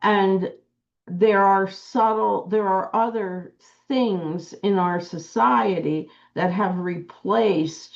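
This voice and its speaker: A woman with an American accent speaks at a very slow pace and medium pitch, with ordinary pitch variation and very even loudness. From urban US Northeast. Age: 70s. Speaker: author's wife. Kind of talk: casual chat.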